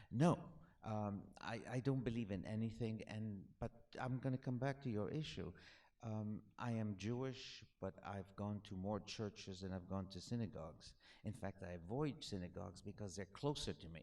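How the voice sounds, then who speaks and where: A man talks in a fairly low pitch with a dark, mellow tone. His pitch variation is ordinary. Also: moderate pace. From Alexandria, Egypt. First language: French. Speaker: author. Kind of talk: Q&A after a film screening. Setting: cinema with audience. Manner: halting, many fillers and restarts.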